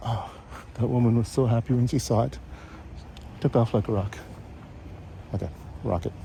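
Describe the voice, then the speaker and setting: Soft-spoken and at a fairly quick pace, a man talks with ordinary pitch variation and long, frequent pauses. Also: medium pitch for a man. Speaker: vlogger. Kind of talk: casual walking vlog narration. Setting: outdoors, walking. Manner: hesitant, with fillers.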